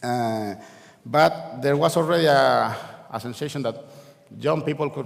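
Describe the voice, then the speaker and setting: A man with a Spanish accent at a moderate pace with ordinary pitch variation, amid noticeable background noise and audible room echo. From Canary Islands, Spain (La Laguna, Tenerife). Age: 40s. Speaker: event speaker, games industry figure. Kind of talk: conference talk. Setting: stage with audience. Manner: halting, many fillers and repeats.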